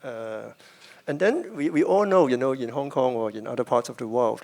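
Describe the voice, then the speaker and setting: Speaking at a fairly quick pace, a man has an unremarkable speaking voice at a medium pitch. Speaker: moderator. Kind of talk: moderator interview question.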